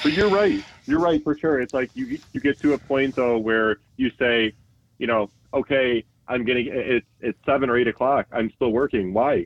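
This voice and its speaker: A normal speaking voice from a man, medium in pitch with ordinary pitch variation, comes through dry and close with no echo. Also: moderate pace. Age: 40s. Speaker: IT executive. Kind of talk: interview.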